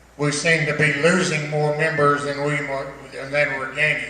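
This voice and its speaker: The speaker has an American accent and a fairly slow pace. Noticeable background noise and audible room echo fill the recording. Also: man. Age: 70s. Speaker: retired army colonel, Vietnam veteran. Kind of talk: after-dinner speech.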